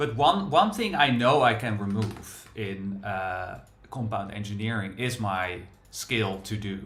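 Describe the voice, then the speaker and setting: Against audible room echo, a man with a fairly low pitch speaks at a fairly slow pace. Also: ordinary pitch variation. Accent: strong Dutch. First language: Dutch. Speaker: software developer and livestream host. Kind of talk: casual live coding chat.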